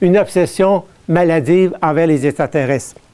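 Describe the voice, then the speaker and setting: The dark, mellow tone comes at a fairly slow pace with ordinary pitch variation. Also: man. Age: 60s. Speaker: artist and alleged abductee. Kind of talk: public lecture. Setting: stage with audience.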